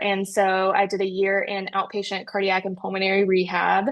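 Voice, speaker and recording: With a slight North Carolina accent, a woman of medium pitch speaks at a moderate pace. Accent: slight Southern US (North Carolina). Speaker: critical care physical therapist. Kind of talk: interview.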